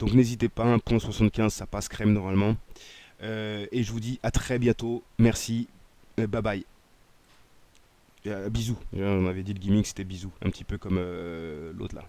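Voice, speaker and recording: A dark, mellow tone comes at a moderate pace with ordinary pitch variation, big swings in loudness, and long, frequent pauses. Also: man. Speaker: gaming YouTuber. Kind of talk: gameplay commentary. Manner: hesitant, many fillers.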